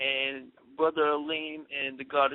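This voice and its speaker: The delivery is monotone and flat. A man talks at a moderate pace. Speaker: radio show host. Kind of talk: radio show intro.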